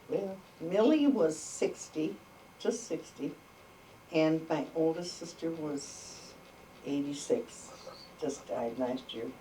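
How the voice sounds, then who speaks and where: Over noticeable background noise and audible room echo, a woman speaks at a very slow pace with long, frequent pauses, her fairly low voice carrying lively intonation. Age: 80s+. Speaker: oral history interviewee. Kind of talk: oral history interview. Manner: halting.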